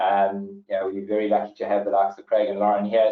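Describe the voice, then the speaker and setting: Speaking at a very fast pace, a man talks with a South African accent. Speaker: webinar host, property company manager. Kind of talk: webinar moderation. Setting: online webinar call. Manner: hesitant, many fillers and repetitions.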